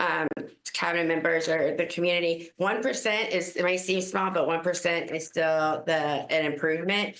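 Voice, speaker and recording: Fairly even intonation comes through with audible echo from the room. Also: woman. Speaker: school district administrator. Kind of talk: public meeting presentation. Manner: loud.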